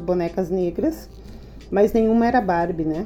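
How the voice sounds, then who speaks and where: A woman speaks with ordinary pitch variation at a moderate pace while noticeable background noise continues. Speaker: teacher and education adviser. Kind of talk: interview. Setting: podcast recording.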